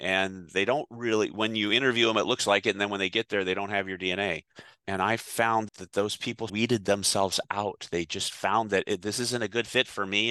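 In a bright, sharp tone and an American accent, the speaker goes at a fairly quick pace with monotone, flat intonation, the sound dry and close with no echo. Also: man, quiet background. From southern California. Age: 60s. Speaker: retired hot tub industry executive. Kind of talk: interview.

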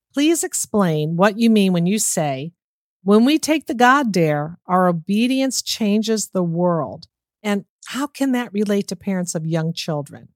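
A woman speaks at a fairly slow pace and medium pitch with an enthusiastic tone, very wide pitch swings and a dry, close sound with no echo. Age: 60s. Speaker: podcast host. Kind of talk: interview.

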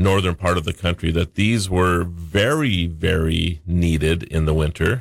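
A man talks at a fairly slow pace in a very deep, low pitch. The recording is very clean, its background silent. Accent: North Dakota. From North Dakota. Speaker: regular tech and national-days contributor. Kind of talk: casual radio chat.

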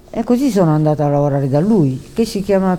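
A woman with a Japanese accent speaks with very wide pitch swings. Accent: Japanese-accented Italian. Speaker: animator. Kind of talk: interview. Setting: convention booth. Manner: halting.

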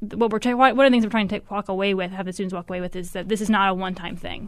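A woman talks at a very fast pace, her medium pitch held to fairly even intonation. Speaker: nonprofit program director. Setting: radio studio.

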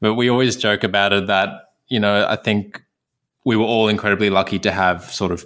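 A man with an Australian accent at a moderate pace. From Sydney, Australia. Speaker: recent graduate dentist. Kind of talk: casual interview chat.

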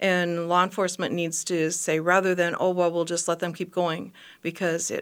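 A woman with an American accent speaks fairly quickly at a fairly low pitch, her intonation flat and monotone. The recording is very clean, with a silent background. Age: 70s. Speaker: retired nurse. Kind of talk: radio interview. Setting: studio.

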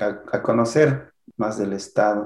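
A man talks in a plain, everyday voice at a medium pitch. His intonation stays fairly even. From Michoacán, Mexico (P'urhépecha community). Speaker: artist and writer. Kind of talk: interview. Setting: online recording.

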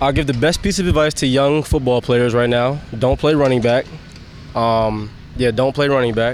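A man with an American accent uses an ordinary speaking voice at medium pitch and a moderate pace. His pitch varies normally while his volume stays very even. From Pennsylvania, Harrisburg area. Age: 20s. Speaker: pro football running back. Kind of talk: interview.

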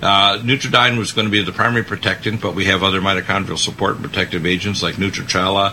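There is noticeable background noise behind a man speaking. His pitch is fairly low and his intonation fairly even. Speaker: radio host. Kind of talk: talk radio discussion.

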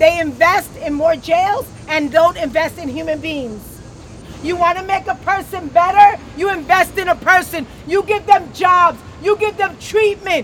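Against crowd noise in the background, a woman with an American accent speaks at an extremely high pitch. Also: ordinary pitch variation, fairly slow pace. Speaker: activist. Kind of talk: rally speech. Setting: outdoors. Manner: impassioned, emphatic repetition.

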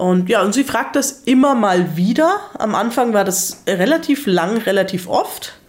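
Over noticeable background noise, a woman talks at a fairly slow pace and a fairly high pitch. Her intonation is lively and her loudness very even. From Germany. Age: 30s. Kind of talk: casual interview chat. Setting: living room in Salzburg.

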